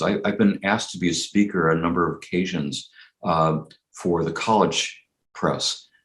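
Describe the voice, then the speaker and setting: The pitch is very deep and low. It belongs to a man with an American accent. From Los Angeles County, California. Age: 60s. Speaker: political cartoonist. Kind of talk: interview conversation.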